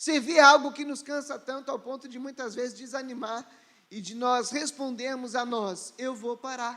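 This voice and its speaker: At a moderate pace, a man projects a raised voice with a bright, sharp tone and an extremely high pitch. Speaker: pastor. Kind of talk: sermon.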